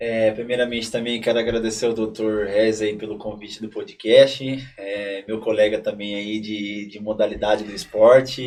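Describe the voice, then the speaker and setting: With hardly any pauses, a man talks in a fairly low pitch and a monotone, flat intonation while his loudness swings widely. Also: moderate pace. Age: 20s. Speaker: para-athlete and civil servant. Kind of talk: podcast conversation. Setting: studio.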